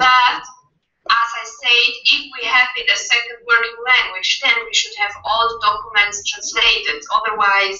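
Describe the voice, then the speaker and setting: Audible room echo surrounds a woman speaking at a fairly slow pace with a non-native accent. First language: not English. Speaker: association officer presenting amendment. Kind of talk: meeting debate.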